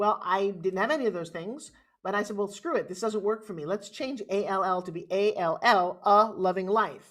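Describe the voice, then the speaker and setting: Female speech at a medium pitch with ordinary pitch variation. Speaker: infomercial host and fitness expert, motivational speaker. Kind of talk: interview answer, energetic conversational storytelling. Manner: upbeat, animated, fast.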